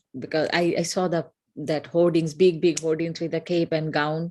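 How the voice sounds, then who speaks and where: A woman speaks with a Bengali accent. Her pitch is fairly low. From northeast India. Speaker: yoga program participant. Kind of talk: interview testimony. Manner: halting.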